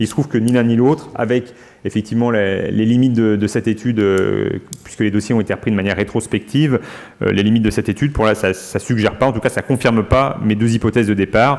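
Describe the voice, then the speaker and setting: Very even in loudness, a man speaks very fast with fairly low pitch and fairly even intonation. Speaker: medical professor presenting research. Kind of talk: conference Q&A discussion. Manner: hesitant, many fillers.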